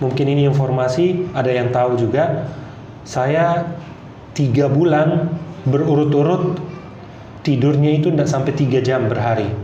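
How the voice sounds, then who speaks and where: A man with an Arabic accent speaks at a fairly slow pace, with fairly high pitch and fairly even intonation. Long, frequent pauses break up his speech, and the recording has audible room echo and noticeable background noise. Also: very even loudness. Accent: Arabic-accented Indonesian. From Syria. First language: Arabic (speaking Indonesian). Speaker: Islamic teacher and restaurant owner. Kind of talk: interview. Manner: halting, short phrases.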